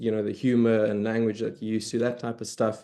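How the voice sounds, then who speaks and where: In a South African accent, a man speaks with monotone, flat intonation at a medium pitch. His tone is dark and mellow. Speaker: early career historian, researcher. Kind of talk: academic panel discussion.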